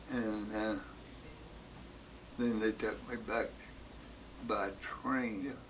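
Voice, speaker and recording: Pausing long and often, a man at medium pitch speaks at a very slow pace in a monotone, flat intonation. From West Virginia. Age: 80s+. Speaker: war veteran. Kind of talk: interview answer.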